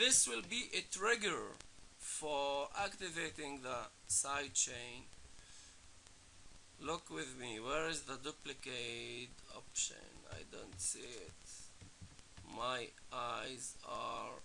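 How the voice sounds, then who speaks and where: Long, frequent pauses break up a man's very slow speech, delivered with a non-native accent. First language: not English. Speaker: music producer teaching production. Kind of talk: tutorial. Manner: casual, halting.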